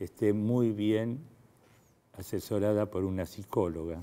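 With an Argentine accent, a man talks at a fairly slow pace in a fairly low pitch, his tone dark and mellow and his intonation fairly even. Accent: Argentine Spanish (Rioplatense). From Argentina. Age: 70s. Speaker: fertility doctor. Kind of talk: interview. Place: studio. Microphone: lapel.

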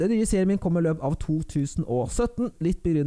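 A man speaks in a high voice with a dark, mellow tone. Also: quiet background. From Norway. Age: 20s. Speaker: YouTuber. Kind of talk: Q&A vlog. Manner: casual, with filler sounds. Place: home room. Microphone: studio mic.

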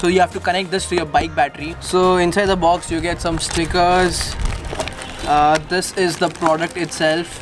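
A high-pitched man at a moderate pace, clear music in the background. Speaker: tech vlogger. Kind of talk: casual unboxing vlog chat.

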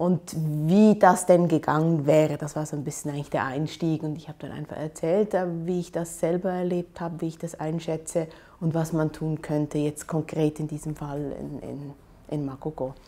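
This woman's voice is very deep and low, with a dark, mellow tone, fairly even intonation, a moderate pace and big swings in loudness. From Switzerland, Aarau; Switzerland. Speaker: urban planner and architecture professor; architecture professor. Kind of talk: interview monologue. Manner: hesitant, many fillers. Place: office. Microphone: lapel.

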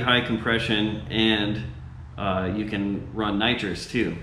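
A man speaks at a fairly low pitch. The recording has audible room echo and light background noise. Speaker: car enthusiast vlogger. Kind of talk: casual vlog chat. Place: garage.

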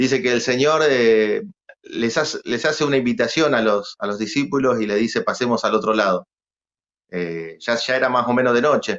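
A man speaks at a moderate pace and a medium pitch. The background stays quiet. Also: ordinary pitch variation. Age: 40s. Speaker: guest. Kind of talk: casual interview. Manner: halting, many repetitions. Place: studio. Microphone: video call.

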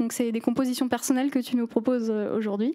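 Her intonation fairly even, a woman speaks with a high pitch. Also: quiet background. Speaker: arts show host; TV show host. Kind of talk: interview. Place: stage. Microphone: handheld.

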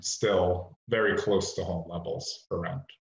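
At a moderate pace, a man speaks in a fairly low, somewhat breathy voice. Audible room echo is present, but the background is quiet. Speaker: housing developer. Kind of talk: project pitch. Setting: video call. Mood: calm, businesslike pitch. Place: home room. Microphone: video call.

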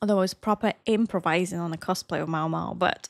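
A woman with an Eastern European accent, fairly even intonation, a dry sound with no echo and a quiet background. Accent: Slavic. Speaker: cosplayer and anime reaction youtuber. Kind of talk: casual Q&A talk to camera. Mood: relaxed, friendly. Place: home room. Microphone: studio mic.

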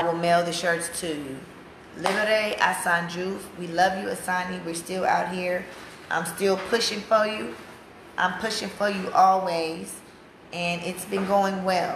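A woman in an American accent, monotone and flat, at a fairly slow pace, with audible room echo and light background noise. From USA. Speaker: activist's wife selling campaign t-shirts. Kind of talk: casual live stream. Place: home room. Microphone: phone near.

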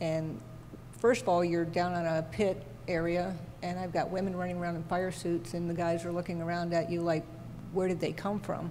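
A woman's fairly low, monotone, flat voice over light background noise. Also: fairly quick pace. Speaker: television camera technician; panelist. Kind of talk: panel discussion. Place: hall. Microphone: handheld.

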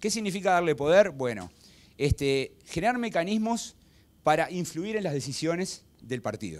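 Lively intonation marks this speech, delivered at a moderate pace. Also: man, high pitch for a man. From Uruguay. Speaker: political science professor. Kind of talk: lecture. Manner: halting, many fillers. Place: hall. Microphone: handheld.

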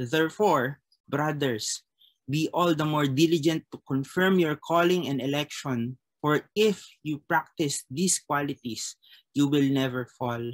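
Against a quiet background, a man speaks fairly slowly. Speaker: chapel service leader. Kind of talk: prayer and scripture reading. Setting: video call. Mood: calm, reverent. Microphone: webcam.

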